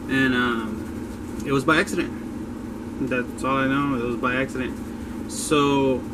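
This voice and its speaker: Amid noticeable background noise and audible room echo, a man speaks in a relaxed tone. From Texas, Dallas (Pleasant Grove). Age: 20s. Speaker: woodworker. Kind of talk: casual personal story to camera. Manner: casual, relaxed with fillers.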